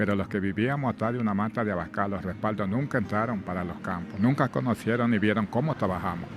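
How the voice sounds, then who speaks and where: Hardly pausing, a man rattles along at a very fast pace, his pitch fairly low with ordinary variation. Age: 60s. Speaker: former plantation worker. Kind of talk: testimony.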